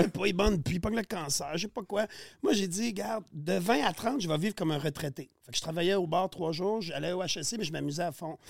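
A man's high voice at a very fast pace with lively intonation, on a very clean recording with a silent background. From Quebec, Montérégie (Saint-Basile). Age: 40s. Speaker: podcast guest, sausage maker. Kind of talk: casual chat.

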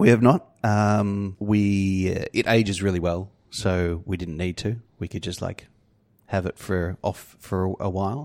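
In a very clean recording with a silent background, a man with an Australian accent speaks at a fairly slow pace, with a fairly low pitch and fairly even intonation. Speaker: brewer. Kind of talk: casual chat.

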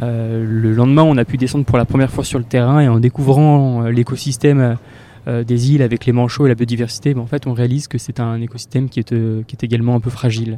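Very fast speech from a man, monotone and flat in intonation. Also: medium pitch for a man. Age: 20s. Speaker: climate science student. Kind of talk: testimony.

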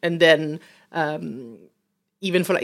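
Against a silent background on a very clean recording, a woman with an Italian accent speaks at a fairly low pitch with ordinary pitch variation. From Italy, Rome. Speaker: food business owner. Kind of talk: interview. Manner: hesitant with many fillers.

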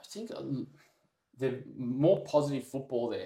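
A man speaks with an Australian accent. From Sydney, Australia. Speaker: semi-pro footballer. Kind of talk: casual chat.

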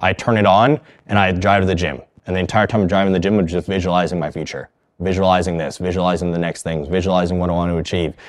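Very deep, low pitch from a man at a very fast pace. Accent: Canadian. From Canada (Thunder Bay, Ontario). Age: 20s. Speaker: fitness and mindset coach. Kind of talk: interview. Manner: animated.

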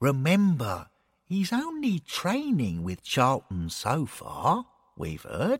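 Put-on character voice from a man, medium in pitch with a slightly husky edge, very wide pitch swings and a slow pace

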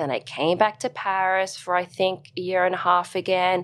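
Recorded very cleanly against a silent background, a woman with an Australian accent talks at a fairly quick pace in a medium pitch with a bright, sharp tone. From Australia, Brisbane. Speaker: dancer and fitness instructor. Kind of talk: interview.

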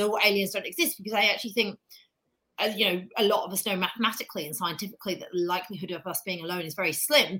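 Someone talks at a very fast pace in a British accent with a bright, sharp tone. The loudness swings widely. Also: woman. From Britain. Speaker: astrophysicist and space journalist. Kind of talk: casual interview chat.

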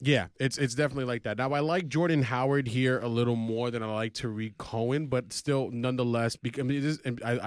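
A man at a medium pitch and a fairly quick pace, with ordinary pitch variation, on a very clean recording with a silent background. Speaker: fantasy sports podcast host. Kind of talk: casual sports banter podcast. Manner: loud, animated.

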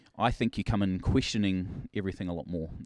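This man talks at a fairly quick pace in a New Zealand accent, his pitch very deep and low. The recording is very clean, with a silent background. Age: 40s. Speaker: pastor. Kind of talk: casual chat.

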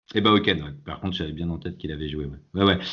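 Very fast speech comes from a man whose voice has vocal fry. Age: 40s. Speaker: football supporter. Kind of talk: casual chat.

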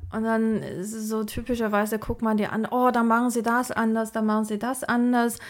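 A woman with a Mandarin Chinese accent speaks at a moderate pace and a fairly high pitch in a monotone, flat intonation with hardly any pauses, in a very clean recording with a silent background. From China, moved to Germany at about 14. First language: Mandarin Chinese (speaking German). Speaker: AI researcher and science manager. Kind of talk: interview conversation.

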